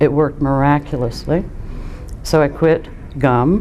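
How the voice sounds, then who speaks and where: A woman speaks with a very deep, low pitch and monotone, flat intonation. Noticeable background noise can be heard. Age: 60s. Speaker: COPD patient, lung transplant recipient. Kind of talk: testimony. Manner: halting, with many fillers.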